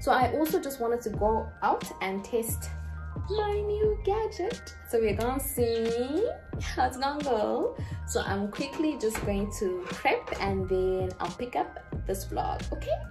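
A woman talks at a fairly slow pace while clear music plays in the background. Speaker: vlogger. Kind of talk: casual vlog chat. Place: kitchen. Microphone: handheld.

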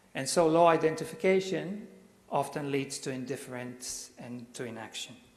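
A man with a fairly high pitch speaks with big swings in loudness over noticeable background noise. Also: ordinary pitch variation, moderate pace. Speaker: university lecturer. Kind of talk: lecture. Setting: stage with audience. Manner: halting.

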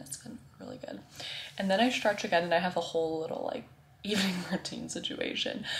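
A woman at a very fast pace, big swings in loudness, noticeable background noise. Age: 20s. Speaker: teacher and fitness vlogger. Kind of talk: casual vlog. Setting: outdoors on a walk with dog.

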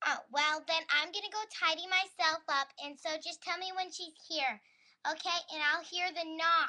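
Someone in a put-on character voice talks at a moderate pace with an extremely high pitch. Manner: hesitant, flustered.

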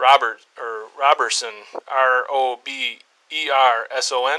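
A male voice is heard with light background noise. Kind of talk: police phone call and questioning. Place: office. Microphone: lapel.

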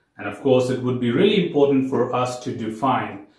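The background is quiet. Audible echo fills the room. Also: man. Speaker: software testing educator. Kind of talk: lecture. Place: home room.

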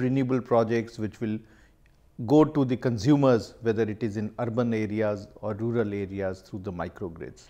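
In a quiet background, a man with a medium pitch and a dark, mellow tone speaks at a moderate pace. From India. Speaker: power company CEO. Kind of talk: keynote speech. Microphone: lapel.

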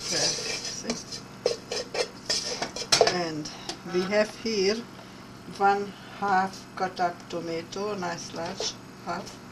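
Very slow speech with long, frequent pauses and fairly even intonation. Clear background noise can be heard. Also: woman, fairly low pitch for a woman.

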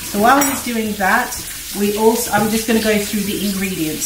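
A woman speaks over noticeable background noise. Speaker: home cook host. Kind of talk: tutorial. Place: kitchen. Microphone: camera far.

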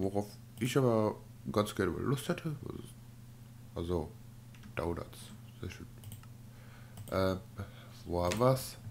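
Long, frequent pauses break up delivery that unfolds at a very slow pace. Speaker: Minecraft let's play YouTuber. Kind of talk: let's play gaming commentary. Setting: home recording. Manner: casual, animated.

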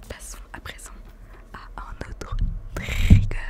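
A woman is whispering. Her voice stays in a whisper throughout. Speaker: gaming and ASMR YouTuber. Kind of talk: casual talk to camera, ASMR. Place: home room. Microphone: studio mic.

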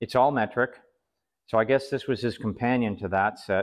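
The speaker is a man. He talks at a moderate pace. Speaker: flea market reseller. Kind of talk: casual show-and-tell vlog. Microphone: camera far.

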